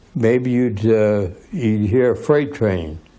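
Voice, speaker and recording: An audible room echo surrounds the recording. A man speaks in a dark, mellow tone with ordinary pitch variation. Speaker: old-time motorcyclist. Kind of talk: reminiscing interview.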